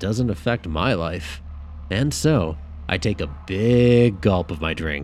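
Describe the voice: What you hear is plain reading aloud.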